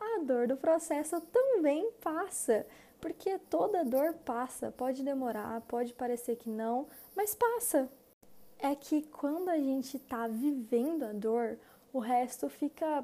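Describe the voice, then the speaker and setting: This woman has a high pitch and a dark, mellow tone, speaking at a very slow pace. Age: 20s. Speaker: podcaster and psychology student. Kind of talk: casual monologue.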